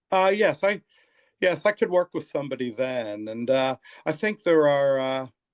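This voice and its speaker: A man with an American accent and a fairly high pitch speaks at a moderate pace with lively intonation, in a dry, close sound with no echo and a quiet background. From US Northeast (Pennsylvania, Montgomery County). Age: 60s. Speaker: therapist and author. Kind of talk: interview. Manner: halting, many fillers and repeats.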